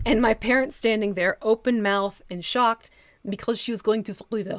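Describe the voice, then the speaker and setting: Her voice is fairly high and moves at a moderate pace. The sound is dry and close with no echo. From Texas, moved to New Jersey as a child. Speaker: miniature painting streamer. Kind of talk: live stream painting tutorial with chat. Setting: live stream. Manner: animated.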